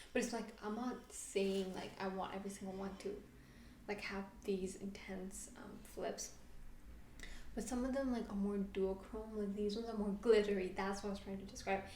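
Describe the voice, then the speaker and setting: The intonation is monotone and flat. An audible room echo surrounds the voice. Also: woman, medium pitch for a woman. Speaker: beauty youtuber. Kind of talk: product review vlog. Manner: fast.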